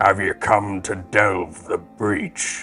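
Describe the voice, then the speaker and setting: Over clear music in the background, a man uses a put-on character voice that is gruff and growling, fairly low in pitch and monotone with flat intonation. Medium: actual play.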